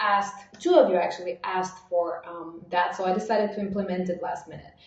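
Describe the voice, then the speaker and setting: Against noticeable background noise and audible room echo, a woman speaks at a fairly quick pace. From Bulgaria. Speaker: online marketing coach. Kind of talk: live webinar training. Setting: livestream. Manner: fast; animated.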